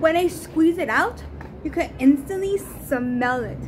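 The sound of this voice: A woman with a high pitch and lively intonation speaks at a fairly slow pace over clear background noise.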